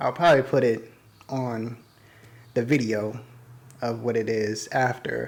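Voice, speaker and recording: With long, frequent pauses, a man talks at a fairly slow pace in a medium pitch and fairly even intonation. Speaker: YouTuber and podcast host. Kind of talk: casual solo podcast monologue. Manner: rambling, casual.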